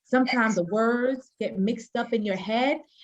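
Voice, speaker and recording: In a Haitian accent, a woman speaks at a fairly slow pace and fairly high pitch with ordinary pitch variation. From US, Haitian-American family. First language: Haitian Creole. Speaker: panelist. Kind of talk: panel discussion.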